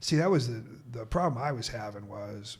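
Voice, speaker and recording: A somewhat breathy man with an American accent, medium pitch and moderate pace, with audible room echo. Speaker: stand-up comedian. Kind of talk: casual chat. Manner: animated.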